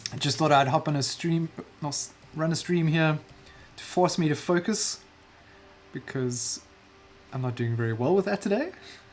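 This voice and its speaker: The speaker has a South African accent and a moderate pace, with long, frequent pauses. Noticeable background noise is present. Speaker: digital artist streaming a painting session. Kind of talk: casual livestream chat while painting. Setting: livestream.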